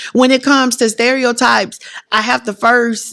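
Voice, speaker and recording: A loud woman's voice with a bright, sharp tone, on a very clean recording with a silent background. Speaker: education administrator. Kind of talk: casual chat. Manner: animated.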